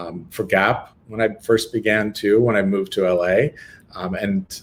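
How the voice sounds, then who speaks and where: The speaker has an American accent and fairly even intonation. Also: man. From Northern California, Lake Tahoe. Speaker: retail expert and author. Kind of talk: webinar Q&A.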